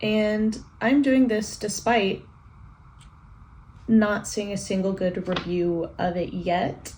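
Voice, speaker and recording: Ordinary pitch variation marks the somewhat breathy voice of a woman. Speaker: book vlogger. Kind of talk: casual vlog talk. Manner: quiet, low energy.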